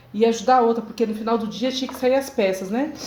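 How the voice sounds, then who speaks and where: A woman's fairly high voice with fairly even intonation, noticeable background noise and audible room echo. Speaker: seamstress turned workshop owner, vlogger. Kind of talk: personal testimony monologue.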